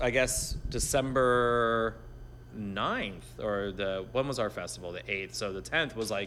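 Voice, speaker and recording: The pace is fairly slow. Background music plays throughout. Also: man. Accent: American. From Miami Beach, Florida. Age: 40s. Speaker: podcast host and producer. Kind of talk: casual chat.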